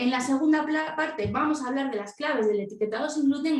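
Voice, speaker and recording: A woman with a high pitch talks at a fairly quick pace, with ordinary pitch variation. Audible room echo and noticeable background noise are present. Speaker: celiac education presenter. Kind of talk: live webinar presentation. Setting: video call. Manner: fast; animated.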